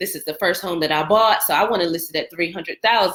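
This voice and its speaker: In an unremarkable speaking voice, a woman talks with lively intonation at a fairly low pitch, captured on a very clean recording with a silent background. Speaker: real estate agent. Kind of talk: live stream talk. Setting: live stream from computer.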